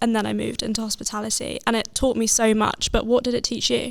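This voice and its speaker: Over noticeable background noise, a woman with a southern English accent speaks at a very fast pace. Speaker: podcast host. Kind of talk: casual chat.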